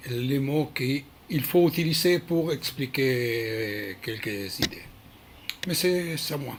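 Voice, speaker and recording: With a non-native accent and lively intonation, the speaker talks at a very slow pace over noticeable background noise. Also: man, fairly high pitch for a man. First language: not French (speaking French). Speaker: Krav Maga instructor. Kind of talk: video address. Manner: halting, many hesitations.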